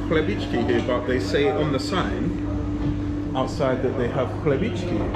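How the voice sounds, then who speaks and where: A man talks fairly slowly. Clear music is heard behind him. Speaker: travel vlogger. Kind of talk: casual vlog chat. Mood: relaxed, pleased. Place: cafe.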